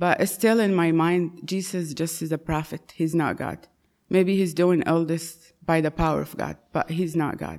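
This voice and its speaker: A woman with an Arabic accent speaks in a fairly low, flat monotone. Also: fairly slow pace. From Saudi Arabia. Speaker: churchgoer, convert to Christianity. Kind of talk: testimony.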